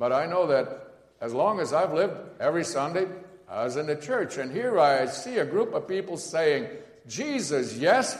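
Against noticeable background noise, a man with a high pitch speaks with lively intonation at a moderate pace. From Netherlands. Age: 60s. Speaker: guest preacher, seminary professor. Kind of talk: sermon. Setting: church.

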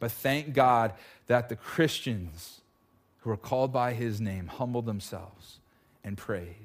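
With an American accent and an unremarkable speaking voice, a man talks at a fairly slow pace and medium pitch with ordinary pitch variation in a very clean recording with a silent background. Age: 30s. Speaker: pastor. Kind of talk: sermon. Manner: casual.

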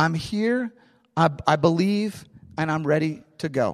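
A man talks at a fairly high pitch, his intonation lively. The background is quiet. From US Midwest, St. Louis. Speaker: pastor. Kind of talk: sermon.

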